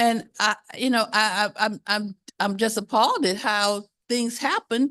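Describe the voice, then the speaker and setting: A woman speaks with an American accent. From Miami, Florida. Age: 70s. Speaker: community resident. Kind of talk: public comment. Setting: community meeting hall.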